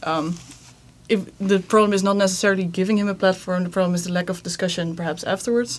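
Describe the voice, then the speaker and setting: With an unremarkable speaking voice, a woman talks at a medium pitch with fairly even intonation. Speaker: podcast host. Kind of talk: moderated discussion.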